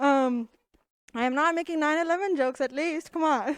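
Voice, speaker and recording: Over a silent background in a very clean recording, a woman speaks with an Indian accent. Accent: Indian English, noticeable. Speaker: comedian. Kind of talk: stand-up. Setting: stage with audience.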